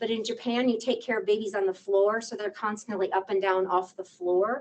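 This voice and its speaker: With an unremarkable speaking voice, a woman talks at a moderate pace, fairly high in pitch and lively in intonation. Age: 60s. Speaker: psychologist. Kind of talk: lecture. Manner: conversational.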